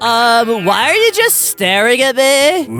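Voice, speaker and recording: A put-on character voice, fairly high in pitch, speaks at a fairly slow pace with faint music in the background. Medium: game stream.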